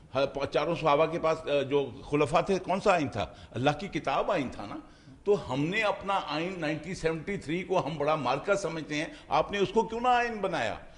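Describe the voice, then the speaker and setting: With hardly any pauses, the speaker uses lively intonation over noticeable background noise. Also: man, fairly high pitch for a man. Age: 70s. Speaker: political talk show panelist. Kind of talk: heated debate. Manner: halting.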